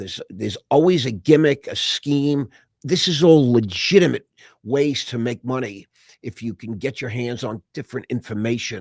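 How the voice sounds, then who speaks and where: A man speaks in a normal speaking voice at medium pitch and a moderate pace, with lively intonation and big swings in loudness. The recording is very clean, with a silent background and a dry, close sound with no echo. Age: 60s. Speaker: investor and entrepreneur. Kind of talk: casual chat. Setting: podcast interview.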